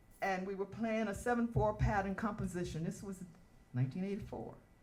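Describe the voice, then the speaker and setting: Somewhat breathy, a woman speaks with an American accent. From US South, Atlanta, Georgia. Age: 70s. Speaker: dancer and performer, award honoree. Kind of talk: spoken word performance and personal testimony.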